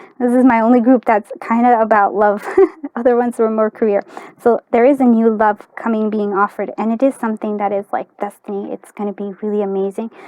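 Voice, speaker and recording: The speaker talks at a fairly quick pace in a monotone, flat intonation. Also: woman, fairly high pitch for a woman. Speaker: tarot reader. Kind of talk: tarot card reading. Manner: halting, many fillers and repeats; casual.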